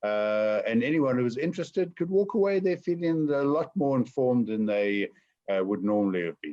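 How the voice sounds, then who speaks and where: The voice has a dark, mellow tone and moves at a fairly quick pace. Its pitch swings very widely. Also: man, medium pitch for a man. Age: 60s. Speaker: entrepreneur. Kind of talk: webinar Q&A.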